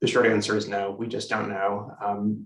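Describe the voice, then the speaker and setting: The man's voice is fairly low in pitch. His intonation is monotone and flat. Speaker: public health physician presenter. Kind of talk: webinar presentation. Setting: video call. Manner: fast.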